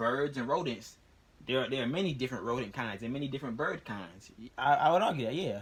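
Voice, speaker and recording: A man speaks at a very fast pace and medium pitch. His intonation is lively. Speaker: youtuber explaining religion and science. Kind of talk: casual monologue to camera. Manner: repetitive, stammering restarts.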